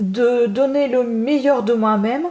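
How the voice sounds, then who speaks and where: A high-pitched woman's voice at a very slow pace, with ordinary pitch variation and noticeable background noise. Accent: non-native. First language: not French (speaking French). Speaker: book reviewer / YouTuber. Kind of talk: casual book review monologue. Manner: hesitant, many fillers.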